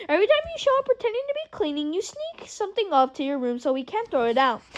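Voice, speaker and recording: A woman's squeaky put-on character voice, extremely high in pitch, with very wide pitch swings at a very fast pace. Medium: read story. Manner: curt, impatient.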